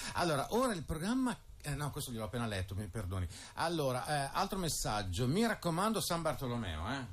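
A man's somewhat breathy voice, fairly high in pitch, with very wide pitch swings and a fairly quick pace. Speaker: radio host. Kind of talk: radio interview. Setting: radio studio. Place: studio.

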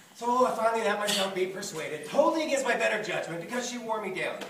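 Very fast speech with audible room echo and light background noise. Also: man. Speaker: stage actor. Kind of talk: theatrical monologue. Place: stage. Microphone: camera far.

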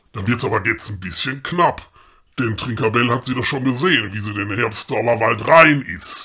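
Putting on a character voice, a man holds a medium pitch and a moderate pace. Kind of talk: comedy audio drama. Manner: gruff, sarcastic.

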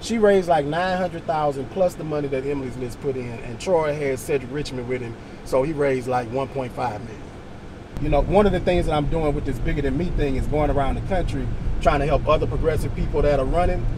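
Noticeable background noise sits beneath speech delivered at a fairly quick pace. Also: man, ordinary pitch variation, dry sound with no echo. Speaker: candidate. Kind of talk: casual conversation. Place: car. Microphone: camera far.

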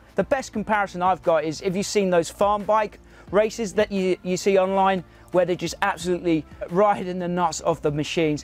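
Faint music plays behind a high-pitched man talking at a fairly quick pace with ordinary pitch variation in a dry sound with no echo. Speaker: motorcycle reviewer. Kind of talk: product review talk to camera. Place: open country. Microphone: lapel.

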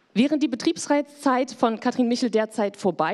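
A woman with a plain, everyday voice, fairly high in pitch, lively in intonation, at a moderate pace. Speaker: panel moderator. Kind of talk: moderated panel discussion. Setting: stage with audience. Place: hall. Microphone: handheld.

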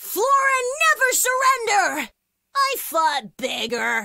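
A woman puts on a character voice with an upbeat, playful tone. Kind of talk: video game combat voice lines. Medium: video game. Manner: upbeat, cocky, playful.

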